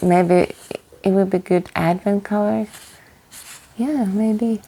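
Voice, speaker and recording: The speaker is a woman. Her pitch is medium. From Norway, west coast. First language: Norwegian. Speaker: knitting vlogger. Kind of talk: casual chat. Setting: cabin. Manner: halting.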